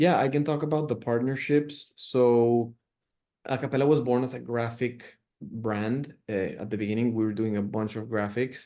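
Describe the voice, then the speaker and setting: With a Spanish accent, a man speaks at a moderate pace and medium pitch, his tone dark and mellow and his pitch variation ordinary. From Mexico, Monterrey. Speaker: clothing brand founder. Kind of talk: interview. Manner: halting, many fillers and repeats.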